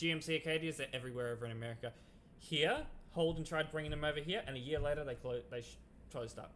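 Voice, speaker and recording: A bright, sharp tone with ordinary pitch variation and an Australian accent. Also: man. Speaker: game streamer and moderator. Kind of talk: casual chat. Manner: relaxed.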